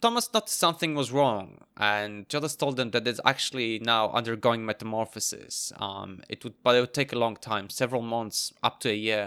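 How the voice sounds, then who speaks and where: On a very clean recording with a silent background, a man speaks at a medium pitch and a moderate pace in a bright, sharp tone, hardly pausing. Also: dry, close sound with no echo. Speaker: podcast co-host. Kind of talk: casual chat. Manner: energetic, joking.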